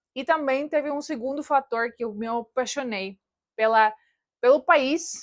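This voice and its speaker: A woman with a Russian accent speaks in a high pitch with ordinary pitch variation, the sound dry and close with no echo. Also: quiet background. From Russian-speaking family in Soviet Latvia, then Germany. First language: Russian (speaking Portuguese). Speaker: YouTuber. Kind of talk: personal vlog.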